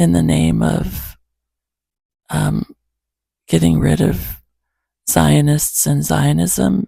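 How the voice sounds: A woman's fairly low voice, dark and mellow in tone, with vocal fry and a slightly husky edge. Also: dry, close sound with no echo.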